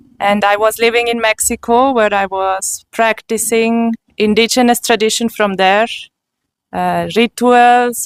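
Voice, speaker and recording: A woman's fairly high voice in a German accent, monotone and flat, fairly slow, in a dry, close sound with no echo. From Switzerland. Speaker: spiritual seeker giving testimony. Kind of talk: testimony.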